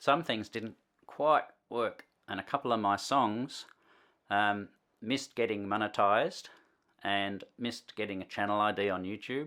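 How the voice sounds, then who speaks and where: With an Australian accent, a man speaks at a moderate pace in a fairly low pitch, with a bright, sharp tone and ordinary pitch variation. Long, frequent pauses break up his speech on a very clean recording with a silent background. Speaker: musician and video tutorial host. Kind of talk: tutorial. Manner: casual, hesitant with frequent fillers.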